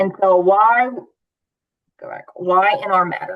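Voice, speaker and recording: Pitched in the middle range, a woman's voice keeps a fairly even intonation. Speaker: recovery housing program staff. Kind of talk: online meeting presentation. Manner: frequent fillers.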